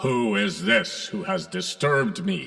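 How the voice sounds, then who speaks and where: A man puts on a character voice, pitched high. He speaks at a fairly slow pace. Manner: commanding, official.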